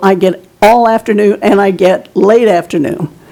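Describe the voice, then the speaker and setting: A woman at a medium pitch, moderate pace and ordinary pitch variation, against noticeable background noise. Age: 70s. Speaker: public commenter at city meeting. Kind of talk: public comment. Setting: city commission meeting.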